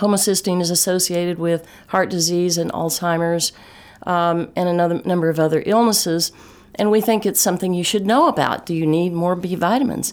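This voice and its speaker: A woman with a Texas accent speaks at a medium pitch. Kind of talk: interview about health.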